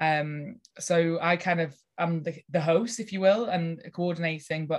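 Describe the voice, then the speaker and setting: This woman has a Lancashire accent. Her pitch is very deep and low. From northern England, Lancashire. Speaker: nature retreat and events organiser. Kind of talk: casual interview.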